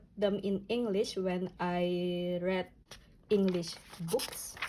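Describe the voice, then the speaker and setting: The speaker has an Indonesian accent. The pace is very slow. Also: woman. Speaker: notebook and reading vlogger. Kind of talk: casual flip-through vlog. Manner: halting, many fillers.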